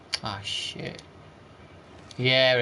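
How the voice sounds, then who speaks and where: A man speaks with an East Midlands accent over noticeable background noise, with audible room echo. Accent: East Midlands accent, considered northern. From East Midlands, England. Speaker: video game streamer. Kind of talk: casual live-stream chat with gameplay commentary.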